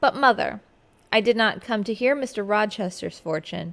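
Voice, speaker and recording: She talks at a moderate pace and a medium pitch. This woman has a normal speaking voice with ordinary pitch variation. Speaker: teacher reading aloud. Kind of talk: audiobook reading of a classic novel.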